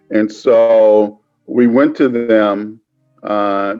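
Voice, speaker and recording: Music plays in the background as a man talks with an American accent. His pitch sits in the medium range. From Cleveland, Ohio. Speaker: media company founder. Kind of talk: interview answer.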